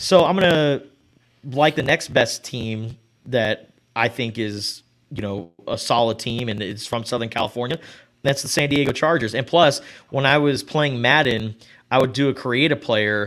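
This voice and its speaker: A man talks at a moderate pace in a medium-pitched voice with ordinary pitch variation. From Tucson, Arizona. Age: 20s. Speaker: sports radio host. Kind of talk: casual chat.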